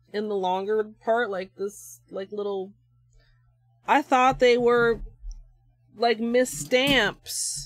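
Faint music plays in the background as a woman speaks at a very slow pace with long, frequent pauses, the sound dry and without echo. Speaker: nail art streamer. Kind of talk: livestream tutorial. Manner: casual, halting with fillers.

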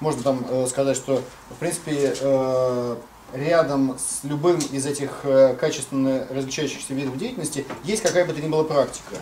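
A plain, everyday voice from a man, fairly high in pitch, at a moderate pace with fairly even intonation and light background noise. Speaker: audience member. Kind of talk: seminar discussion question. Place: classroom. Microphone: camera far.

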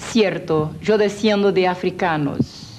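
A woman's very slow speech with ordinary pitch variation over noticeable background noise. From Brazil, Rio de Janeiro. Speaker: evangelist, former witch. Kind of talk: testimony. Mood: earnest, reflective. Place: garden.

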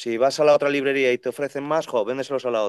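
There is a dry sound with no echo and a quiet background. A man speaks at a very fast pace. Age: 30s. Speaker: second-hand bookseller. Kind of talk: casual chat. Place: shop. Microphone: video call.

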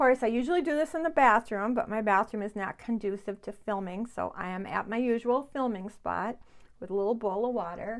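A woman's medium-pitched voice at a fairly quick pace, with ordinary pitch variation

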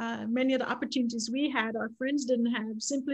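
The speech is fairly quick with monotone, flat intonation, set against a quiet background. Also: woman. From Jamaica, Kingston suburbs; Jamaica. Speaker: fundraising coach, author; fundraising coach. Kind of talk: panel discussion. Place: home room. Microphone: webcam.

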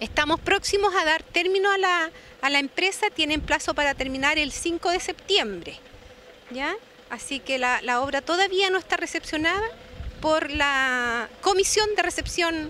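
Over light background noise, a woman uses a raised, projected voice at a fairly slow pace, with ordinary pitch variation and a dry sound with no echo. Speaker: official reporting on public works. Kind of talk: interview answer. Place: street. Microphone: handheld.

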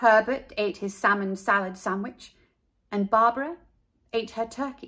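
The voice is a natural reading voice with ordinary pitch variation. The background is quiet.

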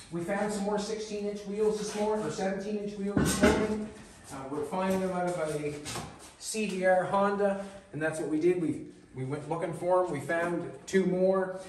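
Someone talks at a moderate pace with ordinary pitch variation, with audible room echo and light background noise. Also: man, high pitch for a man. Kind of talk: casual shop vlog narration. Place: workshop. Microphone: camera far.

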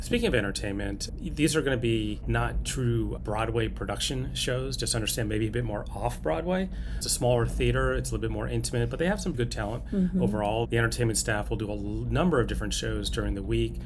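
Someone talks at a very fast pace with hardly any pauses over noticeable background noise. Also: man. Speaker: travel vlogger. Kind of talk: casual review chat. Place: boat. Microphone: phone near.

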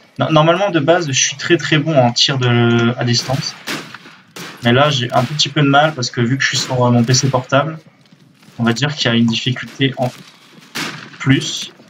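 A man speaks at a medium pitch and a moderate pace, with ordinary pitch variation. He leaves long, frequent pauses, and noticeable background noise is present. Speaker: gaming youtuber. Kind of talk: casual gameplay commentary. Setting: recorded at PC, game audio in background. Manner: halting, hesitant, many fillers. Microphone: webcam.

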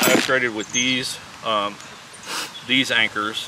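A man talks at a fairly slow pace in a dry sound with no echo, over loud background noise. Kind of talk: casual vlog chat. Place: forest.

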